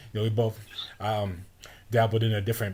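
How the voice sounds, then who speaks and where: Fairly quick and somewhat breathy, a man speaks at a fairly low pitch. His intonation is monotone and flat. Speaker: podcast host and rapper. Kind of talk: casual chat. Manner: fast.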